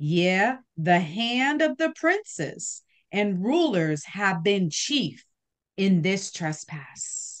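With very wide pitch swings, a woman speaks at a very slow pace. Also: quiet background. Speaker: bible study participant. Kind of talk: scripture reading. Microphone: video call.

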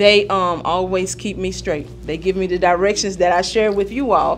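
A woman speaks at a moderate pace with fairly even intonation. Light background noise can be heard. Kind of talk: meeting greeting remarks. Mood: warm, humorous. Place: meeting room.

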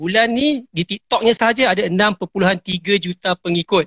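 Speaking with a Malaysian accent, a man uses a high pitch and lively intonation. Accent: Malaysian Malay. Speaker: entertainment show host. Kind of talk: live interview. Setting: Instagram live video call.

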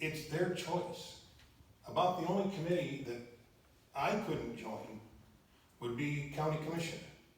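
A man's fairly high voice with an American accent, plus noticeable background noise and audible room echo. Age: old. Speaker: city councilman. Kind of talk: council meeting comments. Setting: council chamber, public meeting.

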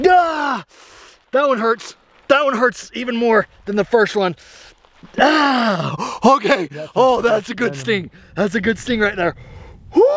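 In a dry sound with no echo, a man speaks at a fairly slow pace with lively intonation and long, frequent pauses. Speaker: outdoor challenge vlogger. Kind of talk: casual vlog chat. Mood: pained, laughing, excited. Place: open country. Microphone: phone near.

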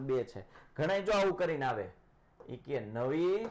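Light background noise sits under the recording. The speaker is a man. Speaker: online maths teacher. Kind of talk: live online lecture. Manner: animated. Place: studio. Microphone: new mic, sound distorted; lapel.

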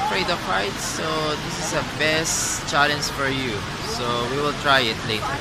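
A man speaks with a dry sound and no echo. Crowd noise murmurs in the background. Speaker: travel vlogger. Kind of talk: casual vlog chat. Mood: excited, impressed. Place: hall. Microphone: phone near.

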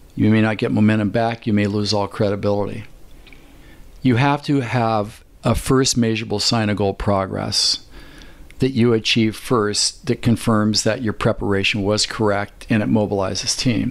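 With long, frequent pauses at a moderate pace, a man speaks in a fairly low pitch, his loudness very even and intonation fairly even. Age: 60s. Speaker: performance coach and chiropractor. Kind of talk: podcast interview.

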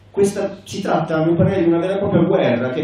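Strong room echo and light background noise surround a man speaking at a fairly high pitch. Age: 40s. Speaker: political activist; conference speaker. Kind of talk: conference speech. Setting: conference hall. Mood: earnest, critical. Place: hall.

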